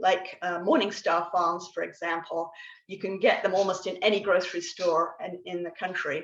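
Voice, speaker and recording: A woman at a moderate pace, with an English accent. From England. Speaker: guest speaker on plant-based eating. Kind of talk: educational talk. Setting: video call. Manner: hesitant, many fillers and restarts.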